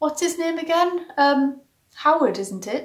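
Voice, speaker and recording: A woman puts on a squeaky, high-pitched character voice, mumbling at a fairly slow pace with lively intonation. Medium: read story. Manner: hesitant, mumbling.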